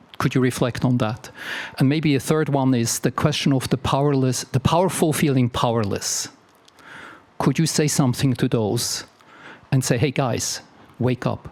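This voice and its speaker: Speaking at a moderate pace with long, frequent pauses, a man keeps a fairly even intonation and very even loudness. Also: medium pitch for a man. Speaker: audience member asking a question. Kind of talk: audience question at a public talk. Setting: library lecture hall with audience.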